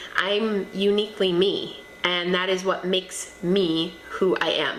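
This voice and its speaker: Over noticeable background noise and audible room echo, a woman talks in a bubbly tone. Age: 30s. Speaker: lifestyle vlogger. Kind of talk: personal advice monologue. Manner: loud and bubbly; animated.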